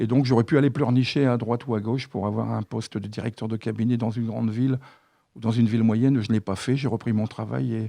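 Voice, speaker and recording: A man talks at a very fast pace with a medium pitch and fairly even intonation. His tone is dark and mellow, and the background is quiet. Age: 60s. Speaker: mayoral candidate and school principal. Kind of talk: radio interview.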